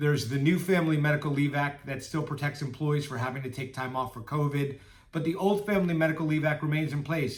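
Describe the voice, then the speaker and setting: A man's somewhat breathy voice at a very fast pace, with audible room echo. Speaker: employment lawyer. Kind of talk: informational talk to camera.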